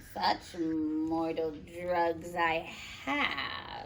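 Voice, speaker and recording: Over clear background noise, a woman uses a put-on character voice with fairly low pitch and fairly even intonation. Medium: read story.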